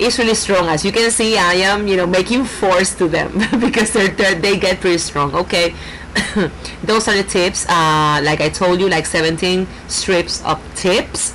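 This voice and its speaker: Speaking with a Puerto Rican accent, a woman keeps a medium pitch, ordinary pitch variation, very even loudness and a moderate pace over noticeable background noise. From Puerto Rico. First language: Spanish. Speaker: nail artist. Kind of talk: tutorial. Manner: halting, many fillers.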